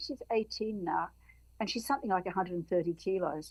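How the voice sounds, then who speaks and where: This woman has an Australian accent and a medium pitch. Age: 70s. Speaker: activist. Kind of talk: podcast interview. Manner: halting.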